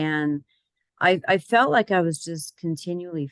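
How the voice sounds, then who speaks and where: Close up and dry with no echo, a woman talks in a normal speaking voice. Her pitch is fairly low, with ordinary variation. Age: 60s. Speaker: health program client. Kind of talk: testimony.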